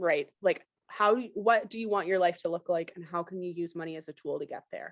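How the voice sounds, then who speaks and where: The voice has an animated tone and lively intonation. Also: woman. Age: 30s. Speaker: personal finance expert. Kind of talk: podcast interview. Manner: fast.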